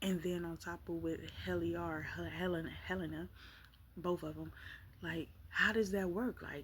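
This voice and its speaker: A soft-spoken woman talks at a moderate pace. Her speech is broken by long, frequent pauses. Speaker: vlogger. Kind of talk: casual chat. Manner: halting.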